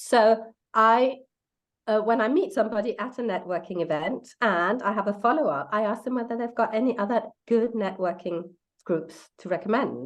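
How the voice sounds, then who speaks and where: Speaking at a moderate pace with a non-native accent, a woman has a fairly high pitch and ordinary pitch variation. The background is quiet. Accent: foreign. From Denmark. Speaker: life coach. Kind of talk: casual interview chat. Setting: livestream video call.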